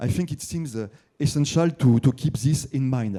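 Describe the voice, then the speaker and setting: At a moderate pace, a man with a French accent speaks at a medium pitch in a dark, mellow tone. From France. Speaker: journalist asking a question from the audience. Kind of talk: audience question at a conference. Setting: conference hall with audience. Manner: halting, many fillers and repeats.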